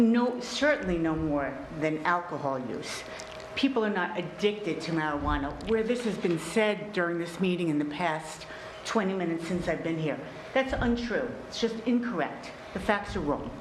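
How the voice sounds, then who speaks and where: With noticeable background noise and audible room echo, a woman speaks at a moderate pace in a fairly low pitch with lively intonation. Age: 60s. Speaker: resident giving public comment. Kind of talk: public comment at town meeting. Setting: town board meeting. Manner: halting, many fillers.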